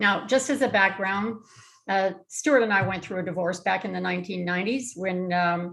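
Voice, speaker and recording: A woman with a Canadian accent uses a normal speaking voice at a moderate pace, medium in pitch with ordinary pitch variation. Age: 60s. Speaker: real estate investor presenter. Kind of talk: webinar presentation.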